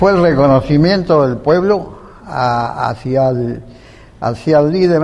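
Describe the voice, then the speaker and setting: A man with a fairly high pitch speaks at a fairly slow pace with lively intonation. Audible room echo surrounds his voice. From Argentina, Rosario. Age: 80s+. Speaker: veteran political activist. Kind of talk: interview. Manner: halting.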